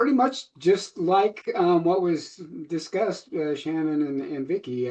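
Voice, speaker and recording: Speaking with an American accent, a man uses a fairly high pitch and lively intonation. His pace is fairly slow. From Colorado. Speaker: product user giving testimony. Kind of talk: testimony. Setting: Facebook live video stream. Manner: hesitant, many fillers.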